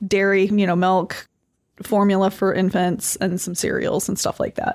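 A woman with an Upper Midwest accent at a moderate pace. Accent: Upper Midwest American. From northern Michigan. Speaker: lawyer. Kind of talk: interview.

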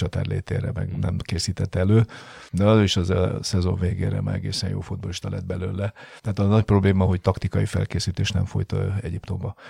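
A man speaks in a very deep, low pitch with a dark, mellow tone and a somewhat breathy quality. His intonation is monotone and flat, and the sound is dry and close with no echo. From Hungary. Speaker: football coach. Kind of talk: interview. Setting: studio. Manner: halting.

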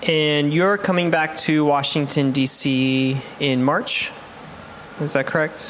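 A man at a very slow pace and fairly high pitch, very even in loudness and fairly even in intonation, with noticeable background noise. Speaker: chef and podcast host. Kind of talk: interview.

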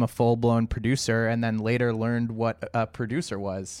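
A man with a Canadian accent uses a normal speaking voice, at a medium pitch and a moderate pace. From Toronto, Canada. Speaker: video producer and podcast co-host. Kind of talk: casual interview chat. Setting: remote video call.

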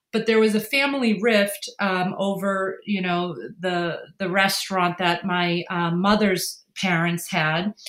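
Here a woman has an ordinary speaking voice at a medium pitch. She speaks at a moderate pace with ordinary pitch variation. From Massachusetts (Worcester area). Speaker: non-profit founder and documentary filmmaker. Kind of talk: interview.

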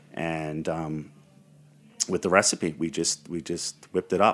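Vocal fry runs through a man's very deep, low voice in a Brooklyn accent. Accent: New York (Brooklyn). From Brooklyn, New York. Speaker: historian and entrepreneur. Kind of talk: interview.

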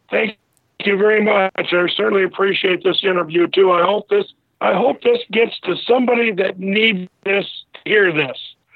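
Keeping very even loudness and fairly even intonation, a man with a high pitch speaks at a moderate pace. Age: 70s. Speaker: cancer survivor. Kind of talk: casual interview.

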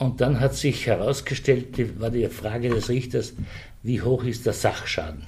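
A man's somewhat breathy, medium-pitched voice at a fairly slow pace, with fairly even intonation. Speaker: Slovene minority representative. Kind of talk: interview.

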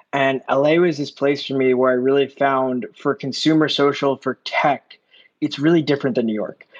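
A man with an American accent, medium pitch, fairly even intonation and a moderate pace

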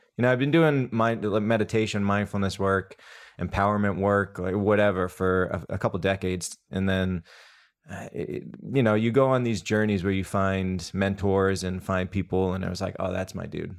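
In a very clean recording with a silent background, a man uses a normal speaking voice at a fairly low pitch, with ordinary pitch variation and a moderate pace. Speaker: mindfulness coach and breathwork instructor. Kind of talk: casual interview.

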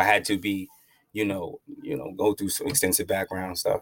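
This man speaks at a fairly quick pace with a fairly low pitch, in a very clean recording with a silent background. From Long Island, New York. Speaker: cannabis activist. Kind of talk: interview.

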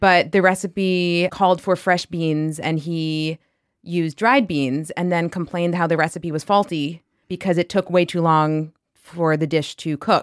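Someone with an American accent speaks at a fairly slow pace with fairly even intonation. The sound is dry and close with no echo, in a very clean recording with a silent background. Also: woman, fairly low pitch for a woman. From New York area. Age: 30s. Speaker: litigant in comedic dispute. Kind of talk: casual testimony.

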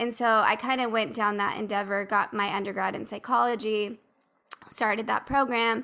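At a moderate pace, a woman speaks in an ordinary speaking voice pitched fairly high. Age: 30s. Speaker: holistic health coach. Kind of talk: casual chat.

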